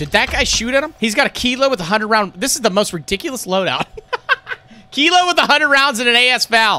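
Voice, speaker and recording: A man's raised, projected voice rushes along very fast, extremely high in pitch, energetic and enthusiastic, with lively intonation and a bright, sharp tone. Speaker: live game commentator / streamer. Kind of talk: live game commentary. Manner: energetic, enthusiastic. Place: home room.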